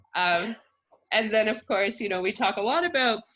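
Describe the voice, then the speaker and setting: Fairly high in pitch, this woman has an ordinary speaking voice. She talks at a moderate pace. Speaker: food cooperative representative, guest speaker. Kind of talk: informal presentation. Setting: video call.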